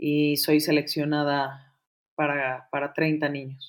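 A woman's very deep, low voice at a very slow pace, on a very clean recording with a silent background. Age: 40s. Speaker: actress and arts teacher. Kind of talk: interview. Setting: podcast recording.

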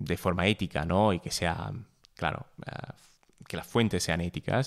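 A man speaks at a moderate pace with a very deep, low pitch. The recording is very clean, with a silent background. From Italy. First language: Italian (speaking Spanish). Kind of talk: casual conversation.

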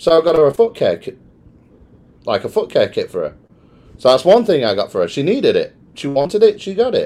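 With a British accent, a man talks at a fairly quick pace broken by long, frequent pauses. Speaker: podcast host. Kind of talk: casual banter podcast. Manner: joking, animated.

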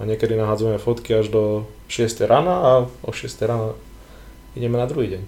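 Somewhat breathy and dark, with a mellow tone, a man speaks at a medium pitch with ordinary pitch variation and a fairly quick pace. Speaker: physician and bodybuilding photographer. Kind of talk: casual chat.

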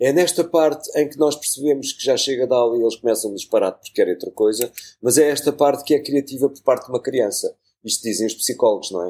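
A very fast, fairly high-pitched man's voice in a dark, mellow tone, with ordinary pitch variation and big swings in loudness. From Portugal, Lisbon. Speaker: journalist and radio producer. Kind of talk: casual interview conversation. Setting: studio.

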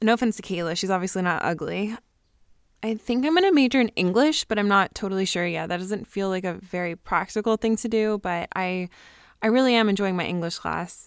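The recording is very clean with a silent background and a dry, close sound with no echo, as a woman speaks at a fairly quick pace in a medium pitch with ordinary pitch variation. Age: young. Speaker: college student vlogger. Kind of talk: video diary, casual monologue. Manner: halting, many fillers.

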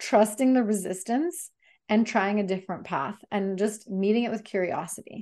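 A woman talks in an ordinary speaking voice at medium pitch, with ordinary pitch variation. The background is quiet. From Bulgaria, then Canada. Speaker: transformational coach. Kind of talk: interview, casual chat.

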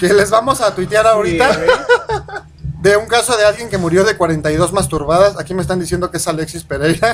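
Noticeable background noise sits behind a man who talks at a fairly quick pace with a high pitch and ordinary pitch variation. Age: 20s. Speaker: internet radio host. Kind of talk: casual chat.

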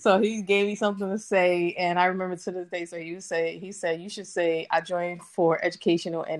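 With hardly any pauses, a woman talks in an unremarkable speaking voice with fairly low pitch and fairly even intonation. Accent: American. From Brooklyn, New York. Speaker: Marine Corps veteran. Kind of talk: casual chat. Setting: internet call.

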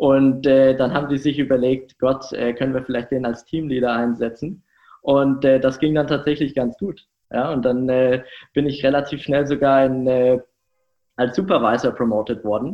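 At a moderate pace, a man with a normal speaking voice and medium pitch talks in fairly even intonation. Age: 20s. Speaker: startup founder. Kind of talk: interview.

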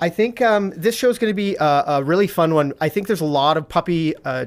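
A man with an unremarkable speaking voice talks at a moderate pace, using fairly high pitch and ordinary pitch variation. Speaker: dog trainer host. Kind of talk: live-stream chat about puppy training. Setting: live stream, home studio.

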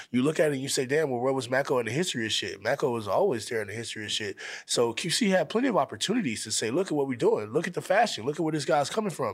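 Very wide pitch swings mark this man's fairly high voice. He talks at a very fast pace with hardly any pauses. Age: 20s. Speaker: rapper. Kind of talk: casual chat. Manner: casual, profane.

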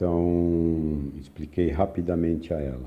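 Somewhat breathy, a man speaks with a very deep, low pitch and fairly even intonation. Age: 60s. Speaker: spiritual group leader and chemistry professor. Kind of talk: recorded spiritual talk. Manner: halting.

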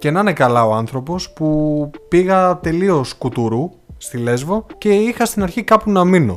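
With music in the background, a man with a high voice talks at a fairly slow pace with hardly any pauses and very wide pitch swings. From Greece, Thasos. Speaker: travel podcast co-host, teacher. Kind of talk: casual chat.

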